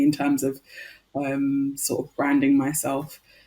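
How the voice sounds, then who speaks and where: A woman with a London accent speaks in a dark, mellow tone with fairly even intonation. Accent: British (London). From London, England. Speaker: nail artist. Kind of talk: interview.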